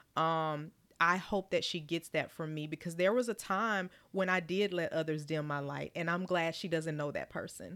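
A woman's fairly low, normal speaking voice at a moderate pace, with fairly even intonation, on a very clean recording with a silent background. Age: 40s. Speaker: social services professional and business owner. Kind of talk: interview.

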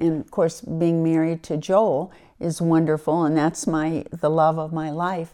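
A woman with an American accent speaks at a fairly slow pace in a dark, mellow tone, her pitch fairly low, against a quiet background. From US Mid-Atlantic, Wilmington, Delaware. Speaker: retired lawyer and senior cyclist. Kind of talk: interview.

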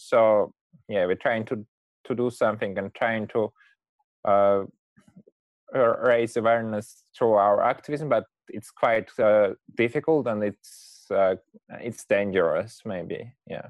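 Speaking fairly slowly with long, frequent pauses, a man with a Russian accent keeps a fairly even intonation in a dry, close sound with no echo. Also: medium pitch for a man. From Russia, Moscow. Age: 20s. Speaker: climate activist. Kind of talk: interview. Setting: video call.

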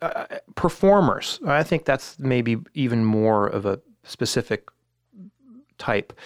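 Recorded dry and close with no echo, a man with an American accent comes through on a very clean recording with a silent background. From US West Coast, Silicon Valley. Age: 40s. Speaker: band manager. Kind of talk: casual interview.

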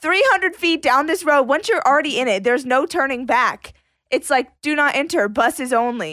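Lively intonation and a fairly quick pace ride on very even loudness, with a bright, sharp tone throughout. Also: woman, high pitch for a woman. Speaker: podcast co-host. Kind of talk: casual chat. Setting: studio.

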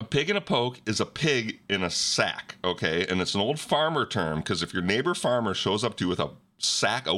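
A man's playful, bright, sharp voice with vocal fry and very wide pitch swings, at a moderate pace, on a very clean recording with a silent background. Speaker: podcast host. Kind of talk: casual banter chat. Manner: joking, playful.

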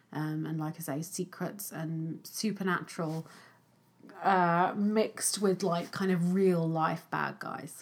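Speaking at a very slow pace with an English accent, a woman uses a fairly low pitch and fairly even intonation. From England. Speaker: film podcast co-host. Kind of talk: casual chat.

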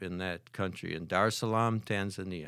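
Against a silent background in a very clean recording, a man with an Upper Midwest accent speaks at a very deep, low pitch. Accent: Upper Midwest American. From US Midwest (Holland, Michigan). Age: 70s. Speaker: retired math professor and church prayer leader. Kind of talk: testimony.

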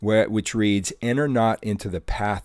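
Someone reads aloud plainly. Their pitch moves in an ordinary way.

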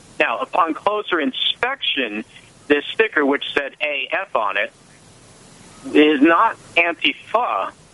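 A man is talking while noticeable background noise carries on around him.

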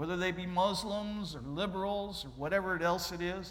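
Audible room echo surrounds a man with an American accent who speaks in a high voice. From Ohio. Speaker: missionary. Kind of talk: sermon. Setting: church.

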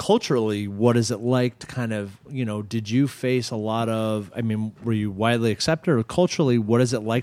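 The pace is very fast. The recording is very clean, with a silent background. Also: man. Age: 30s. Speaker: podcast host. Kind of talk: casual interview chat.

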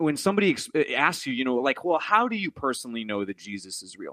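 A man speaks at a medium pitch in a dry, close sound with no echo. The recording is very clean, with a silent background. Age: 30s. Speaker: singer-songwriter and lay minister. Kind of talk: casual chat. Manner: halting, many fillers and repetitions.

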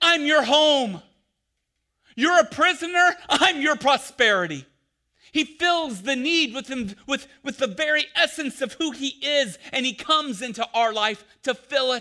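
Raised and projected, the voice has a bright, sharp tone and lively intonation at a fairly slow pace, on a very clean recording with a silent background. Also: man, extremely high pitch for a man. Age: 40s. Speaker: pastor. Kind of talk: sermon.

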